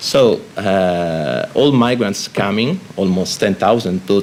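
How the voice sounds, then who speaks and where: Through noticeable background noise, a man speaks with a fairly low pitch and ordinary pitch variation. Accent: Italian. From Italy. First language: Italian. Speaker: Red Cross spokesperson on migration. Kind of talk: panel discussion. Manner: halting, many fillers and repetitions.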